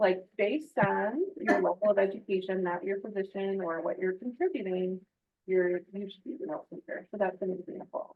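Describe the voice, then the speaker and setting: A woman speaks at a fairly quick pace with an American accent. She has an ordinary speaking voice at medium pitch. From Michigan. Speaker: work-life wellness program director. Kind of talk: podcast interview.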